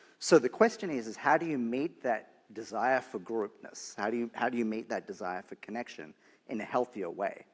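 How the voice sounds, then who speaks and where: A man talks at a fairly quick pace with an Australian accent. His medium pitch shows ordinary variation, and the recording is very clean with a silent background. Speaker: nonprofit leader. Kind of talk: panel discussion.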